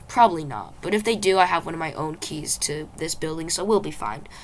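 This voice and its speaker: A raspy, put-on character voice at a fairly quick pace, with lively intonation, big swings in loudness and clear background noise. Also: man, high pitch for a man. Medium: read story. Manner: self-assured.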